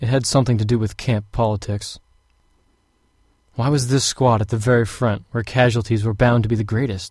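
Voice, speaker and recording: In a very clean recording with a silent background, a man with a medium pitch and a somewhat breathy voice talks at a fairly quick pace in a monotone, flat intonation, leaving long, frequent pauses. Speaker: voice actor. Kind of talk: audiobook narration.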